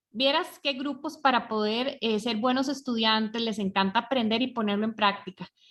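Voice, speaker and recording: A woman talks at a moderate pace with hardly any pauses, in an ordinary speaking voice. Her pitch is fairly high, with ordinary pitch variation. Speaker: program host. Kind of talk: online talk closing.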